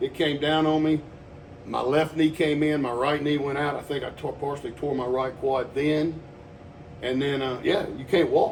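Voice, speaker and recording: Fairly high in pitch, a man with an American accent speaks in a monotone, flat intonation. Audible room echo and noticeable background noise fill the recording. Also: moderate pace. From Texas. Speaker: personal trainer. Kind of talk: casual chat. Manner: loud.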